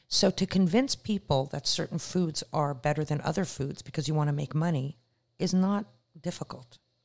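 A woman talks in a very deep, low-pitched voice that is somewhat breathy. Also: ordinary pitch variation, moderate pace. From Canada. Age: 50s. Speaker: private chef. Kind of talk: casual chat.

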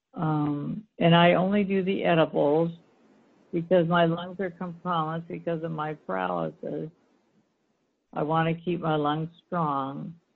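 A woman talks in an American accent at a fairly slow pace. Her pitch is fairly low and her intonation is flat and monotone. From US Pacific Northwest, Seattle area. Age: 60s. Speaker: retired nurse, pain patient. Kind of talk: interview. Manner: halting.

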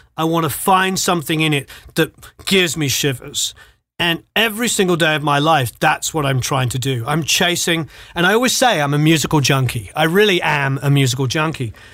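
Bright and sharp in tone, a man with a British accent talks fairly quickly in a fairly high voice with lively intonation. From Britain. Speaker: music producer and mix engineer. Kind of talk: casual interview.

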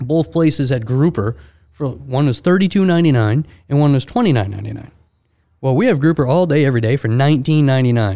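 Fairly high in pitch yet dark and mellow in tone, a man with an American accent speaks at a very fast pace with lively intonation. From Maine, US. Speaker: seafood specialist at a grocery market. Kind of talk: casual interview. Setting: podcast studio. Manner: animated.

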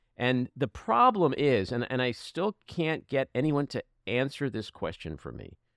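Recorded very cleanly against a silent background, a man with a plain, everyday voice speaks at a medium pitch and a fairly slow pace, his intonation lively. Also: dry, close sound with no echo. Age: 60s. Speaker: podcast host. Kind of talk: casual chat.

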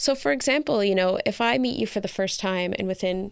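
A woman's plain, everyday voice with a Canadian accent, medium pitch and a moderate pace, on a very clean recording with a silent background. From rural Canada. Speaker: founder of a mixed-race community resource centre. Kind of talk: interview.

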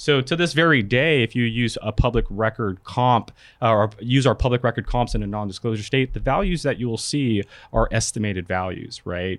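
A man with a normal speaking voice talks at a fairly quick pace in a medium pitch. The background is quiet. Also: ordinary pitch variation. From California. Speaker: real estate software product manager. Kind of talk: casual chat; tutorial. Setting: studio.

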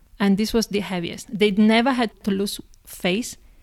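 A woman with an Italian accent speaks at medium pitch in a very clean recording with a silent background. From Italy, Padova near Venice. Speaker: marketing professional. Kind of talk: interview.

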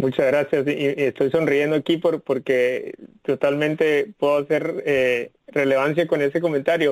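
In an ordinary speaking voice, a man with fairly high pitch talks at a fairly slow pace with hardly any pauses, fairly even intonation and very even loudness, in a dry, close sound with no echo. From Guatemala (Guatemala City). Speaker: tech company executive. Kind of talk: interview.

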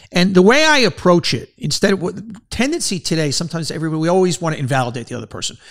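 With a New York accent, a man rattles along at a very fast pace with hardly any pauses, his high pitch making very wide swings. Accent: New York, Queens. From New York City, Queens. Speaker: podcast host, former advertising executive. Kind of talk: interview.

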